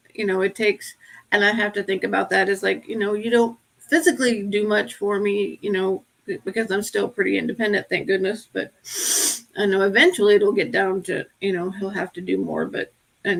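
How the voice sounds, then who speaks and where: A woman speaks fairly quickly in an American accent. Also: medium pitch for a woman, ordinary pitch variation. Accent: Appalachian accent, mostly covered up. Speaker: podcast co-host with Parkinson's. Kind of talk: casual chat.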